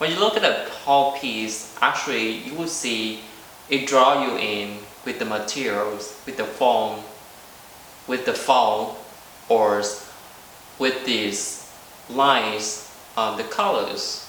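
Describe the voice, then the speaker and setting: A man's medium-pitched voice in a Vietnamese accent, very slow with long, frequent pauses and ordinary pitch variation, amid audible room echo and noticeable background noise. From South Vietnam. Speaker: visual artist. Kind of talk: artist talk presentation. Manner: halting, many filler ums.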